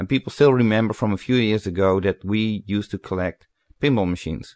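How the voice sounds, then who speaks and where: Very fast delivery with fairly even intonation. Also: man. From Netherlands. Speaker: pinball collector and magazine editor. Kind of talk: casual interview. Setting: phone call. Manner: halting, hesitant.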